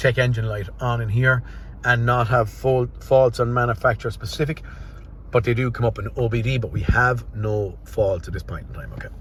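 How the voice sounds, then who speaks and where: A man talks at a fairly quick pace and medium pitch. He speaks in an Irish accent. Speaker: car mechanic. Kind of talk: workshop vlog, thinking aloud. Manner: fast; unscripted, some stumbles.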